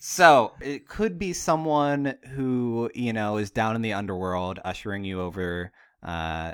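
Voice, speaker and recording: A man with an unremarkable speaking voice talks at a fairly slow pace, medium in pitch, with lively intonation. The recording is very clean, with a silent background. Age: 20s. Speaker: podcast host. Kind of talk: casual comedic chat.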